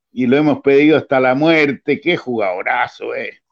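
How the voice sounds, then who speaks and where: A man talks with a Chilean accent. His pitch varies in an ordinary way. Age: 60s. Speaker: football show host. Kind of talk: casual interview.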